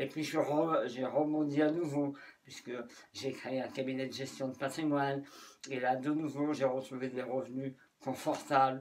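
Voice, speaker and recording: The man's fairly high voice stays monotone and flat throughout. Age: 60s. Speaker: life coach. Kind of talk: motivational talk.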